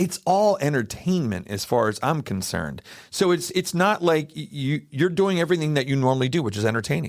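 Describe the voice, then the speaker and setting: A man with an American accent, a fairly high pitch and very wide pitch swings, at a fairly quick pace with hardly any pauses. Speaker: podcast host. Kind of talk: casual interview chat.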